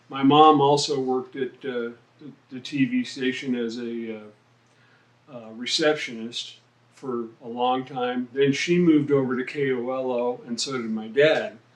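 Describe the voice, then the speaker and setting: Over noticeable background noise, a man with an American accent speaks fairly slowly at a medium pitch, with fairly even intonation and big swings in loudness. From Reno, Nevada, US West. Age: 60s. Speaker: rock drummer. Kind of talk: interview. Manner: halting, many fillers.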